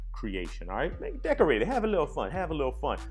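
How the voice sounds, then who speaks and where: A man's voice over faint background music. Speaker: home cook host. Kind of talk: cooking tutorial. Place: kitchen.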